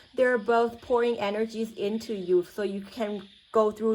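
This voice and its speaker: Speaking slowly-ish with a Thai accent, a woman keeps a medium pitch and fairly even intonation. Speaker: tarot reader. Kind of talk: spiritual reading. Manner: halting, many fillers.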